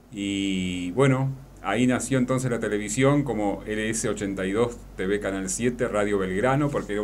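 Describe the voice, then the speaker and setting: Over light background noise, a man with an Argentine accent speaks at a moderate pace and a fairly low pitch with lively intonation. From La Paz, Entre Ríos, Argentina. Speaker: radio announcer and journalist. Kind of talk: radio interview answer. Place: studio. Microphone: studio mic.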